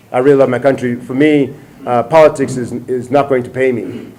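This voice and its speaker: A man speaks at a medium pitch in a monotone, flat delivery. Noticeable background noise runs behind him. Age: 40s. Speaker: presidential candidate. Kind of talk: interview. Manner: halting.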